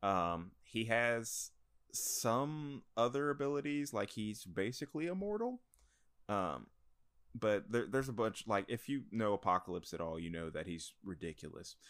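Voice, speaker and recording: Over a silent background in a very clean recording, a man with an unremarkable speaking voice talks at a moderate pace, medium in pitch with lively intonation. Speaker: delivery driver and comic fan. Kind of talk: casual chat.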